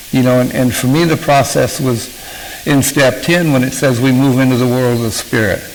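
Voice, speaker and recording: There is noticeable background noise behind the man. His voice carries audible room echo. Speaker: author and recovery speaker. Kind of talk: talk to a recovery group. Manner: halting, with many fillers.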